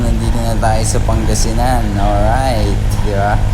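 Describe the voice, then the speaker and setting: Amid noticeable background noise and audible room echo, a man with a very deep, low voice speaks fairly slowly. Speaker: motovlogger. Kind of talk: casual vlog voice-over. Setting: voice-over recorded separately from motorcycle ride. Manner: casual, hesitant with fillers.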